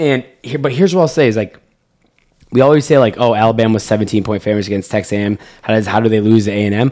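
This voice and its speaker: Speaking with an American accent, a man goes at a very fast pace with a dark, mellow tone, medium pitch and ordinary pitch variation. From North Carolina. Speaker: sports betting podcast host. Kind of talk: casual chat.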